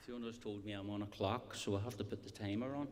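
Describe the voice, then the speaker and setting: Fairly quick and fairly even in intonation, a man speaks at a fairly low pitch. There is audible room echo. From Scotland. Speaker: community development worker. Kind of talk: conference speech. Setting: stage with audience.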